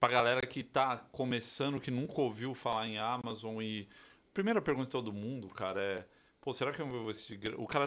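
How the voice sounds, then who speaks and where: Here is a man with a plain, everyday voice and a medium pitch. He talks at a moderate pace using ordinary pitch variation. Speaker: podcast co-host. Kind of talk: casual chat. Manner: relaxed, slangy.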